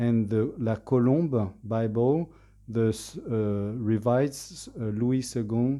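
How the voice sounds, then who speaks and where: A very slow man's voice at medium pitch with a French accent, ordinary pitch variation and a dark, mellow tone. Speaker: language learner giving a presentation. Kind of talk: presentation. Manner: halting, many fillers.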